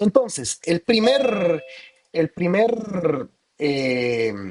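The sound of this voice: Speaking at a very slow pace, a man with a high pitch and a slightly mellow tone makes big pitch swings.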